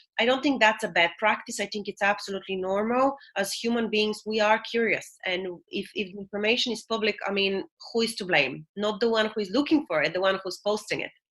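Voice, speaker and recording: A woman with a non-native accent talks at a fairly quick pace in a fairly high voice. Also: ordinary pitch variation. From Bulgaria. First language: not English. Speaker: HR and remote work consultant. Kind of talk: podcast interview.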